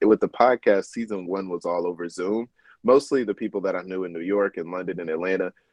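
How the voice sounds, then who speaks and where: A man with a Southern US accent talks at a moderate pace. His fairly low pitch shows ordinary variation. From US South, North Little Rock, Arkansas. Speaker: lawyer and podcast host. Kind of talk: interview conversation.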